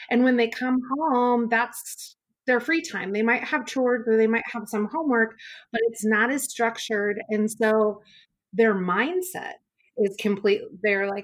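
In an American accent, an unremarkable speaking voice moves at a fairly slow pace. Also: woman. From US Pacific Northwest (central Washington). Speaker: middle school teacher. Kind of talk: interview.

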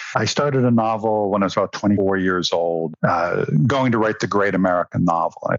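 Against noticeable background noise, a man talks in a fairly low pitch. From raised in London, England. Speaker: novelist. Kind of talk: interview.

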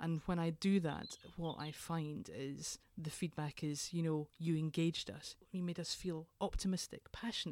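A woman with a Scottish accent, fairly low-pitched, dark and mellow in tone, at a moderate pace with fairly even intonation, in a very clean recording over a silent background. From Scotland, Edinburgh. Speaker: leadership consultant, former nurse. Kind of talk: interview.

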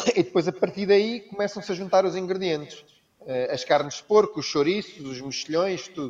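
This man's voice is high-pitched with ordinary pitch variation. He talks at a fairly quick pace. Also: big swings in loudness. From Brazil (Rio de Janeiro), raised with Portuguese family. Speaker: chef. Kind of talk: casual interview chat.

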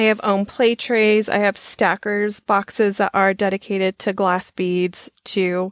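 A woman speaks at a fairly slow pace and medium pitch, her intonation monotone and flat, with hardly any pauses. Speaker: podcast co-host, charm collector. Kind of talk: casual chat.

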